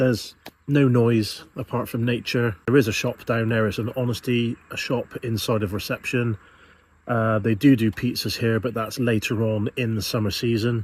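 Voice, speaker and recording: A man with a British accent speaks at a medium pitch and moderate pace. His tone is relaxed and somewhat breathy, with monotone, flat intonation. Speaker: van life vlogger. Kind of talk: casual vlog narration. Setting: outdoors.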